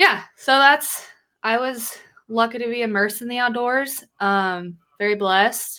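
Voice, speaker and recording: A bright, sharp tone comes through at a fairly slow pace, with an American accent. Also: woman, fairly high pitch for a woman, ordinary pitch variation. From Idaho, US. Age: 20s. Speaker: podcast co-host. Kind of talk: casual chat.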